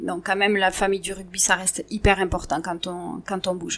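With a bright, sharp tone and fairly even intonation, a woman speaks at a medium pitch in a very clean recording with a silent background. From southwest France, Montauban. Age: 40s. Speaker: partner of a rugby player. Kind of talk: interview. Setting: at home.

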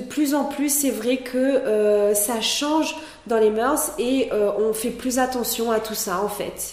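Speaking at a very slow pace with ordinary pitch variation, a woman is heard with audible room echo and noticeable background noise. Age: 30s. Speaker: entrepreneur, founder of a natural cosmetics brand. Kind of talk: interview. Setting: in the mountains with the host.

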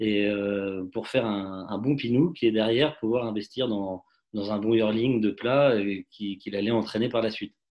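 A man speaks at a fairly slow pace. His medium-pitched voice keeps a fairly even intonation. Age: 30s. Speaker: racehorse owner and dentist. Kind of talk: interview. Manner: halting, many repetitions and fillers.

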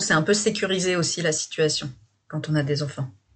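Her pitch is very deep and low for a woman. There is a somewhat breathy quality to the woman's voice. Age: 30s. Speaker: guest sharing couple difficulties. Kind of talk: personal testimony. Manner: halting.

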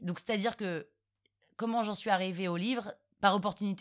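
A woman at medium pitch, with ordinary pitch variation, is heard on a very clean recording with a silent background. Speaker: podcaster and storyteller. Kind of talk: casual interview.

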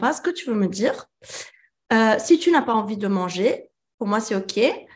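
A woman speaks at a fairly slow pace in a fairly high pitch, her intonation lively. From France. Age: 30s. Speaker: mother and child sleep consultant. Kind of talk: coaching conversation. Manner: hesitant, many fillers.

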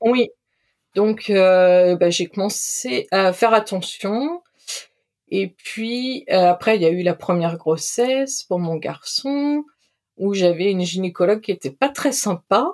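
Speaking very slowly at a medium pitch, a woman uses lively intonation. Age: 40s. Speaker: podcast guest sharing recovery from eating disorder. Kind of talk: testimony.

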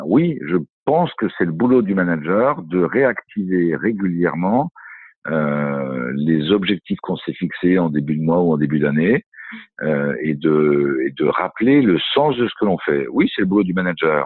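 His pitch is very deep and low. The man's intonation is lively. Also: fairly slow pace. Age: 50s. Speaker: coach and speaker on workplace well-being. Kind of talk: interview. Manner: halting, many hesitations.

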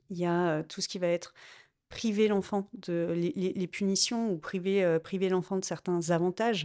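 A woman speaks at a fairly slow pace with a dark, mellow tone and a medium pitch. Her intonation is fairly even, and the recording is very clean with a silent background. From France, Lyon. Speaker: interviewee sharing personal story. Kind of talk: personal testimony interview.

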